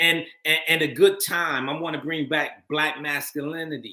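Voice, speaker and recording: An ordinary speaking voice from a man, fairly high in pitch, at a fairly slow pace. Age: 50s. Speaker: actor and filmmaker. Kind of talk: interview.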